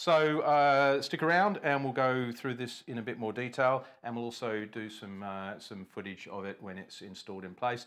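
Over a quiet background, the speaker goes at a moderate pace with hardly any pauses and big swings in loudness. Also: man, lively intonation. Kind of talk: casual product presentation chat. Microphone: lapel.

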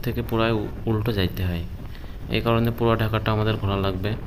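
A man with a fairly low voice talks while noticeable noise sounds behind him. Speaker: moto vlogger rider. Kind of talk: casual vlog chat. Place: motorbike. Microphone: helmet.

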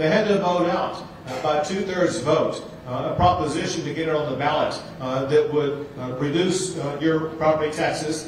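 With light background noise and audible room echo, a man talks at a moderate pace with fairly even intonation. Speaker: politician addressing seniors. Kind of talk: campaign speech. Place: hall.

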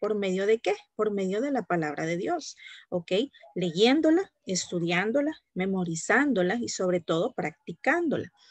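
Against a quiet background with dry sound and no echo, a woman talks at a fairly quick pace with lively intonation. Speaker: teacher. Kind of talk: lecture. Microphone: video call.

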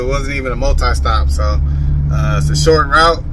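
A man talks at a moderate pace while light background noise is heard. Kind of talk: casual vlog chat. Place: car. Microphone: phone near.

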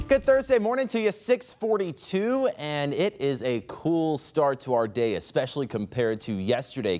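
Very wide pitch swings from a man with an American accent. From US South. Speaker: broadcast meteorologist. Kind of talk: TV weather forecast. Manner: calm, conversational. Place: studio. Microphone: lapel.

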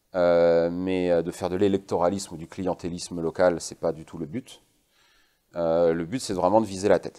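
A man's very deep, low voice, dark and mellow, monotone and flat, at a moderate pace with big swings in loudness, over a quiet background. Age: 40s. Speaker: guest. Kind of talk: interview. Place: studio. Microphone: lapel.

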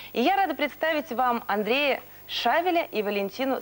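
This woman's voice swings very widely in pitch. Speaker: tv presenter. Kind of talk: tv interview. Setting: studio. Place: studio. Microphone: lapel.

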